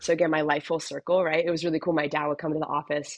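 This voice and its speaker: In a dry, close sound with no echo, a woman with an American accent talks at a very fast pace. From US West Coast, San Diego. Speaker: chiropractor. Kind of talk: podcast interview. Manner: casual, filler-heavy.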